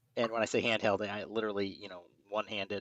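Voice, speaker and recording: A man mumbles in a monotone, flat intonation, the sound dry and close with no echo over a quiet background. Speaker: sci-fi podcast co-host. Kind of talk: casual chat. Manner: mumbling.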